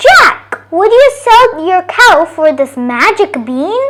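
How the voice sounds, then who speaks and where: A woman speaks in a put-on character voice, squeaky and extremely high-pitched, with very wide pitch swings and a very slow pace. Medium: read story.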